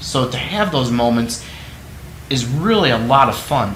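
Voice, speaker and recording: A man with medium pitch speaks fairly slowly in a passionate, animated tone, with audible room echo. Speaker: entrepreneur hosting own video series. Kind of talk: solo talk to camera.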